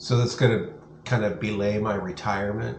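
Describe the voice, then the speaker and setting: Amid noticeable background noise and audible room echo, a man with an American accent speaks at a fairly low pitch. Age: 60s. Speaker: vlogger. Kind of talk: casual video update. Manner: halting, many fillers.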